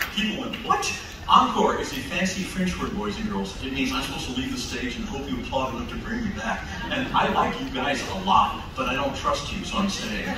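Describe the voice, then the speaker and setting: A man talks at a fairly quick pace. Noticeable background noise and audible room echo fill the recording. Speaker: ventriloquist comedian. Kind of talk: stand-up comedy performance. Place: stage.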